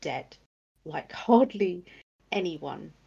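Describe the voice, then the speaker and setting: The tone is dark and mellow, with vocal fry. Pitch varies in an ordinary way. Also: woman. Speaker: podcast co-host. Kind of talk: casual chat, podcast interview.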